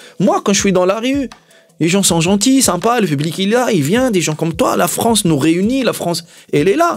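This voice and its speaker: A high-pitched man at a moderate pace, animated in tone with lively intonation and very even loudness, music in the background. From Tunisia. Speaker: comedian and actor. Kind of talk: interview. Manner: animated, repeats words.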